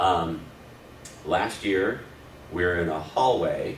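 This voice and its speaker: A man speaks with a very deep, low pitch. Noticeable background noise and audible room echo surround him. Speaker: church volunteer trainer. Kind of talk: training session. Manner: loud; hesitant, many fillers.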